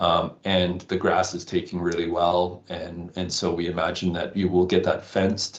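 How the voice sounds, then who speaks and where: A man with a very deep, low pitch and a slight Canadian accent. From Canada. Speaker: wildlife conservationist. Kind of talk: interview. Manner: halting, many fillers.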